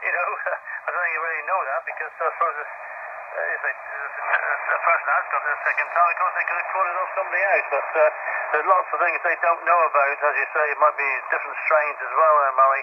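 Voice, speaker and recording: A man rattles along at a very fast pace with noticeable background noise behind him. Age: 70s. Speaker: amateur radio operator. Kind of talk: radio contact chat. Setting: ham radio contact.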